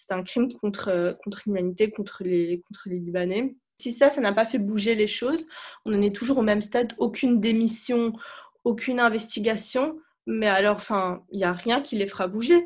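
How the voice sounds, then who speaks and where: Somewhat breathy, a woman with a fairly high pitch talks at a moderate pace with ordinary pitch variation. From Lebanon, Beirut. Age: 20s. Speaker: student. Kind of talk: testimony. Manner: halting.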